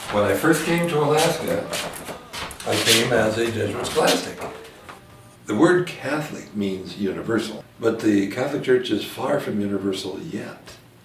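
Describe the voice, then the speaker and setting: Over noticeable background noise and audible room echo, a man with a medium-pitched voice talks at a moderate pace with lively intonation. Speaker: Jesuit priest. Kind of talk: documentary interview.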